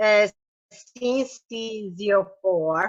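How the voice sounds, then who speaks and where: A woman talks with an Italian accent. The sound is dry and close, with no echo. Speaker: patient association president and parent advocate. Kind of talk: reading aloud. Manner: halting.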